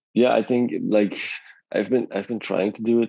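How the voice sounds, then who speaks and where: A man speaks with a non-native accent. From Belgium. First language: not English. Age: 30s. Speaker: artist and illustrator. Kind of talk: podcast interview. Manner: halting, many repeats.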